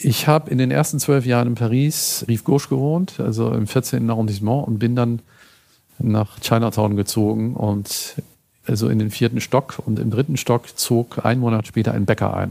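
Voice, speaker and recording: At a moderate pace, a man talks in an unremarkable speaking voice with a medium pitch. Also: ordinary pitch variation. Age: 60s. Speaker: food photographer. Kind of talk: interview.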